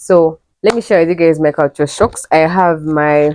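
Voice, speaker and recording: A woman with a Ugandan accent, very deep and low in pitch, with a dark, mellow tone, at a moderate pace, the sound dry and close with no echo. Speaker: travel vlogger. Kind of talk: casual vlog talk to camera. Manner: animated.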